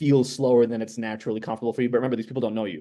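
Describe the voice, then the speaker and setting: This man's voice has a dark, mellow tone and fairly even intonation. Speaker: startup pitch coach. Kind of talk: pitch feedback. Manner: fast talker.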